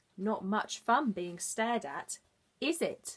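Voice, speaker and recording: A woman uses a put-on character voice that is croaky and fairly high in pitch. She talks at a fairly slow pace. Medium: read story.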